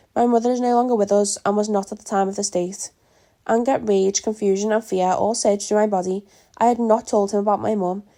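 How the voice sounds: This clip is a natural reading voice.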